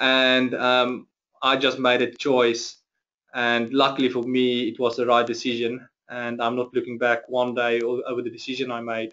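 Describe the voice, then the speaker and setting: Here a man speaks with a South African accent at a medium pitch. His pace is moderate and his intonation monotone and flat. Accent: Afrikaans-accented English. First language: Afrikaans. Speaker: chief financial officer. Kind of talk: interview webinar. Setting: webinar.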